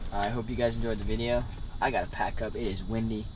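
A man talking at a fairly quick pace over noticeable background noise. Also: dry sound with no echo. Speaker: outdoor vlogger. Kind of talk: casual vlog chat. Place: tent. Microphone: camera far.

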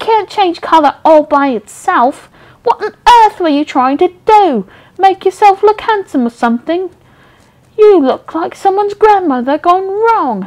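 A shrill, put-on character voice is heard. It moves at a moderate pace. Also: woman, extremely high pitch for a woman. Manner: crying out, shrill.

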